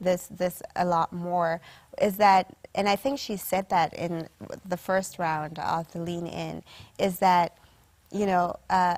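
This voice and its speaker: The recording is very clean, with a silent background. A woman with a fairly low pitch and fairly even intonation talks at a very slow pace, with long, frequent pauses. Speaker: panel guest speaker. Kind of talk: panel discussion. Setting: virtual session. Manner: soft-spoken; hesitant with fillers.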